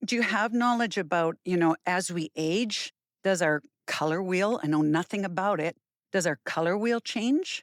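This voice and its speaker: A woman with a Canadian accent has a plain, everyday voice of medium pitch, speaking at a moderate pace with very even loudness. The recording is very clean with a silent background and a dry, close sound with no echo. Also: ordinary pitch variation. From Canada. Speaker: podcast host and fitness instructor. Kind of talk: interview.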